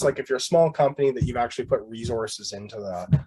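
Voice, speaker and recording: Somewhat breathy, a man's voice comes through at a fairly high pitch. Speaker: instructor. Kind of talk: tutorial. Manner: fast.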